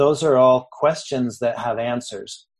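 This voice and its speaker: This man has an American accent and a medium pitch, with a normal speaking voice. He keeps a moderate pace and fairly even intonation. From Texas and Mexico. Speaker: Buddhist podcast host. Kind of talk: interview.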